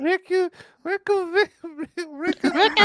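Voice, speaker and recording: A put-on character voice, female-sounding and extremely high-pitched. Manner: dramatic, mispronouncing a place name.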